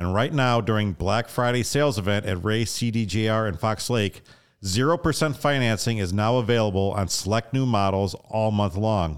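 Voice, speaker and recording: A man's normal speaking voice, fairly low in pitch with ordinary pitch variation, very even loudness and a moderate pace, on a very clean recording with a silent background. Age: 40s. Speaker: podcast host. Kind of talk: casual podcast interview.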